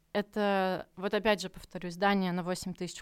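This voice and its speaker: In a very clean recording with a silent background, a woman with a plain, everyday voice and a medium pitch talks at a moderate pace. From Murmansk region, northern Russia. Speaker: contemporary art centre director. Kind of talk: podcast interview.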